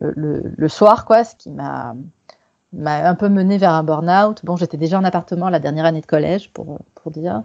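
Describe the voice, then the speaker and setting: The speech moves at a moderate pace with ordinary pitch variation. Its loudness swings widely. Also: woman, fairly low pitch for a woman. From Quebec, Canada. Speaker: sex worker activist. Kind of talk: podcast interview. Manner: halting, many fillers.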